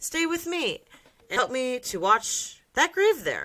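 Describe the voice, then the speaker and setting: A woman puts on a character voice at an extremely high pitch, swinging very widely in pitch at a fairly slow pace. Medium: read story. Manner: earnest, old-fashioned.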